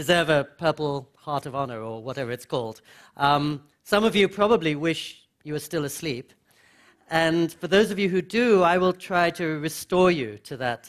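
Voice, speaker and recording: A man speaks at a moderate pace over a quiet background. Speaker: speaker. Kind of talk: lecture. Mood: warm, humorous. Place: hall. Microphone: headset.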